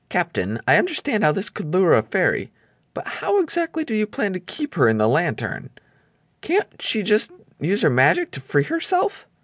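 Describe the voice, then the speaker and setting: In a put-on character voice, a man speaks at a high pitch with a nervous, timid, shaky tone at a moderate pace against a quiet background. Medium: read story.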